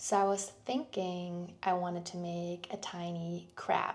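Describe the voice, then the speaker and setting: A woman speaks. She has a Danish accent. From Denmark. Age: 20s. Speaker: clay artist vlogger. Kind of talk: tutorial. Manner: casual, relaxed.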